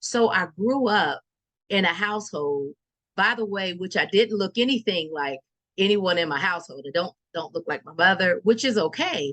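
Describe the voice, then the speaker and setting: Lively intonation at a moderate pace. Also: woman, medium pitch for a woman. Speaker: evangelist podcaster. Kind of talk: motivational talk. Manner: loud; halting.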